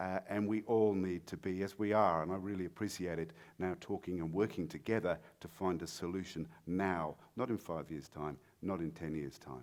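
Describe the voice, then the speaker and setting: A man with a British accent talks at a moderate pace in a very deep, low voice, his pitch varying in an ordinary way. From Britain. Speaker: mining industry speaker. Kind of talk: conference talk. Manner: halting, many fillers.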